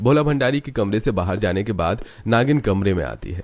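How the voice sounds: The man's fairly quick speech has lively intonation. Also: slightly mellow tone.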